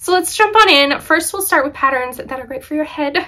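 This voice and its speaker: A woman speaks in a raised, projected voice with very wide pitch swings. The background is quiet. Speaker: knitting podcaster. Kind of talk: casual vlog chat. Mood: cheerful, laughs often. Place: home room.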